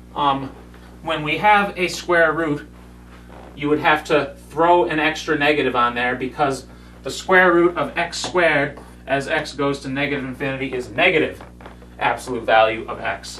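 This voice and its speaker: Amid audible room echo, a man speaks at a moderate pace with a fairly high pitch and ordinary pitch variation. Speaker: math lecturer. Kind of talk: lecture. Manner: loud, yelling when explaining.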